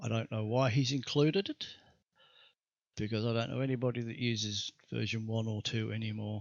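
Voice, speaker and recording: Mumbling at a fairly quick pace with long, frequent pauses, a man speaks at a medium pitch and with fairly even intonation. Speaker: 3D graphics tutorial maker. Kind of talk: software tutorial. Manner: halting.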